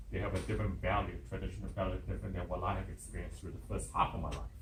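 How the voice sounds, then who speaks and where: A man speaks in a room with audible echo. Noticeable background noise is also present. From Hong Kong. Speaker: conference workshop presenter. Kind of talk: workshop presentation.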